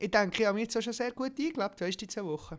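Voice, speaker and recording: On a very clean recording with a silent background, a man talks at a very fast pace and a high pitch. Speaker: podcast co-host, military recruit. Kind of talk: casual chat.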